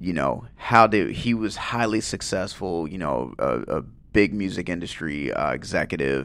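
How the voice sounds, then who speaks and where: With hardly any pauses, the voice shows vocal fry and very wide pitch swings. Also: man, very deep, low pitch for a man, moderate pace. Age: 40s. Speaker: guest co-host on grief podcast. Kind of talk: casual chat.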